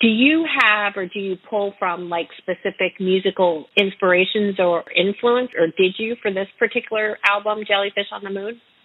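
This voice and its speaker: A plain, everyday voice belongs to this woman with an American accent. Her pitch sits in the medium range and varies in an ordinary way. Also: moderate pace. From North Carolina. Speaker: radio host and singer-songwriter. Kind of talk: interview.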